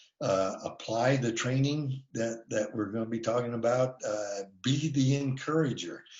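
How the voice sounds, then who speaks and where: Hardly pausing, a man speaks at a fairly slow pace and medium pitch with fairly even intonation. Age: 60s. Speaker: defensive driving instructor. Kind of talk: webinar presentation. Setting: online webinar. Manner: hesitant, many filler words.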